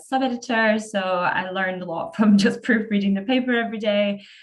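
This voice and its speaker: A woman with a Scottish accent talks at a moderate pace, her pitch varying in an ordinary way. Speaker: newspaper editor. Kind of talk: interview.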